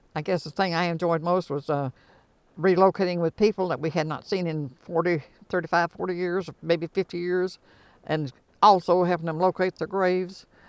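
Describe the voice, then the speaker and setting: A woman with an Appalachian accent speaks at a moderate pace in a fairly low pitch, her intonation fairly even and the sound dry and close with no echo. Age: 90s. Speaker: former resident. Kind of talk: interview. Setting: in a car.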